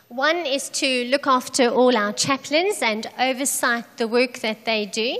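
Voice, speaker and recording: Over noticeable background noise, a woman with a high pitch speaks at a very slow pace. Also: ordinary pitch variation. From South Africa. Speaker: charity program director. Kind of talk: sermon with interpreter. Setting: church.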